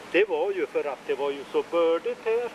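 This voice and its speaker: A man talks with ordinary pitch variation while noticeable background noise runs behind him. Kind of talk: walking narration of family history. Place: forest.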